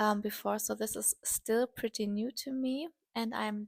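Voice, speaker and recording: A woman with a strong German accent and fairly even intonation. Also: dry, close sound with no echo, very clean recording, silent background. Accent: heavy German. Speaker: artist and video creator. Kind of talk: casual vlog talk while painting.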